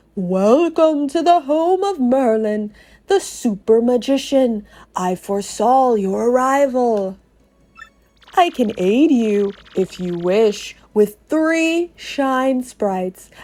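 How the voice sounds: A female-sounding, put-on character voice, high in pitch, at a very slow pace.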